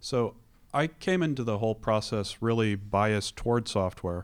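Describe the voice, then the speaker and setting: Here a man speaks with a plain, everyday voice. His pitch is fairly low and his pace moderate. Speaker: podcast host. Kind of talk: interview.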